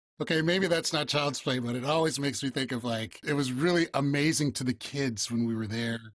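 Using a plain, everyday voice, a man speaks fairly quickly with hardly any pauses, his pitch fairly high with ordinary variation. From Chicago area, Illinois (Evanston). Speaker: actor. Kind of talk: casual interview chat.

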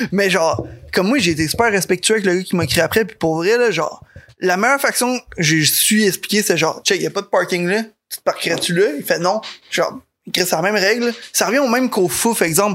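The speaker has a Quebec accent. The pace is fairly quick. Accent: Québécois French. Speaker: podcast guest. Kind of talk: casual chat.

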